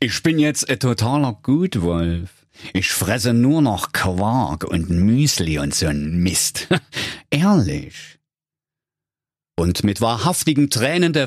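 A man's put-on character voice at medium pitch, fairly slow, with very wide pitch swings and long, frequent pauses. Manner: whiny, self-pitying.

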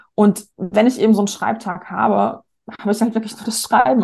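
A woman's fairly high voice, dark and mellow in tone with vocal fry, at a fairly quick pace with ordinary pitch variation over a quiet background. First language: not German, learned German at eight (speaking German). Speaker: marketing coach and author. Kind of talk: casual interview.

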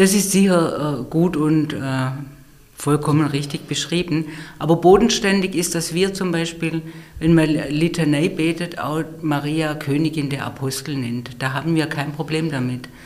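Noticeable background noise sits behind a woman who speaks at a fairly slow pace in a very deep, low voice. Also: fairly even intonation. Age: 50s. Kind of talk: conversational interview. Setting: studio, face to face. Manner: hesitant, many fillers.

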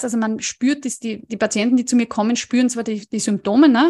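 In a slight Upper Austrian accent, a woman speaks at a high pitch, the sound dry and close with no echo against a quiet background. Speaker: dietitian, nutrition scientist. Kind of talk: interview.

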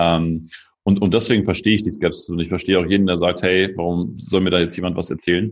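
A man at a very fast pace, with fairly even intonation, over a quiet background. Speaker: sales consultant, former personal trainer. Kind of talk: casual interview.

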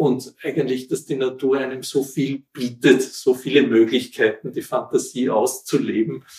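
Barely pausing, this man talks at a moderate pace. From Austria, Wienerwald near Vienna. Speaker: local historian. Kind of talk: interview, storytelling. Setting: at his home.

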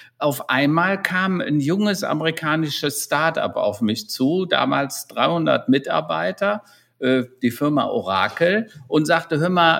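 A voice with lively intonation moves at a very slow pace on a very clean recording with a silent background. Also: man. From Rhineland, Germany (near Hennef). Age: 60s. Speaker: digital transformation consultant and keynote speaker. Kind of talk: interview.

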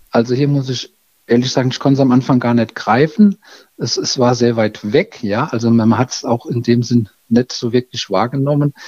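Recorded with a dry, close sound and no echo, a man speaks at a moderate pace with fairly even intonation. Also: medium pitch for a man. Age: 50s. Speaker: village mayor. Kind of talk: interview. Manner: halting, many fillers.

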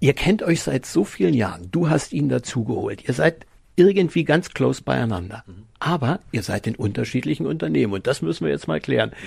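A man's medium-pitched voice with vocal fry, very wide pitch swings and a fairly quick pace. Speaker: podcast host. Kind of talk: casual chat.

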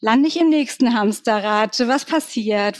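This woman's voice sits fairly high in pitch with ordinary variation. She speaks at a moderate pace. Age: 40s. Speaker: brand consultant, coaching client. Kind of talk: interview.

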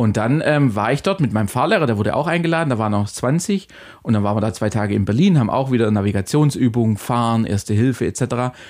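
This man has a normal speaking voice, medium in pitch, with lively intonation. The recording is very clean and the background is silent. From Ulm, Swabia. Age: 30s. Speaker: agency partner. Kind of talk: casual interview.

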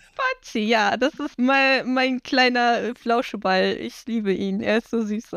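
Fairly even intonation marks this woman's fairly high voice. She speaks at a very slow pace. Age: 20s. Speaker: cosplayer. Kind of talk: casual chat.

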